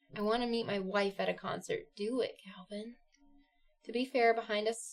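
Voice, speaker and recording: A woman with a Midwestern accent speaks at a moderate pace with fairly even intonation. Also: fairly high pitch for a woman. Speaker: live streamer. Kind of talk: casual chat.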